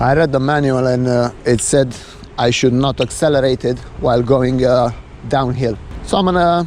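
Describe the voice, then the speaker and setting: A man at medium pitch with fairly even intonation, amid noticeable background noise. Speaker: vlogger reviewing an e-scooter. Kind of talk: POV ride review commentary. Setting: outdoors riding a scooter. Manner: frequent filler hesitations.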